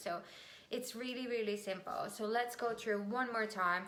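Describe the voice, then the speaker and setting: This woman has a fairly high pitch and a non-native accent. Her intonation stays fairly even at a moderate pace. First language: not English. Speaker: business and marketing YouTuber; marketing YouTuber. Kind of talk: tutorial. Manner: casual, with fillers. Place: home room. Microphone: webcam.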